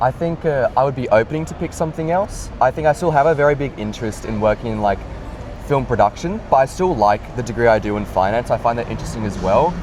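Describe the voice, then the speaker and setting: A man speaks very fast with an Australian accent, his medium pitch carried by lively intonation. Noticeable background noise runs underneath. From Australia, Sydney. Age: 20s. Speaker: university student. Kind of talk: interview. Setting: in person, Sydney.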